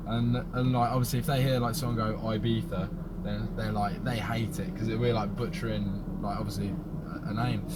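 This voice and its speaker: Someone with a British accent talks at a moderate pace, with audible room echo and noticeable background noise. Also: man. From England. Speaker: race car driver. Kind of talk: casual interview chat. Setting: sit-down interview at race weekend.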